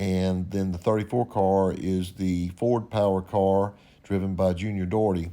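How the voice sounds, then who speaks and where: A man with a Louisiana accent talks at a moderate pace with a fairly low pitch and a dark, mellow tone in a very clean recording with a silent background. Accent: US Southern (Louisiana). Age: 60s. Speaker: YouTube host, race car builder. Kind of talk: narrated photo commentary. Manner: casual, conversational.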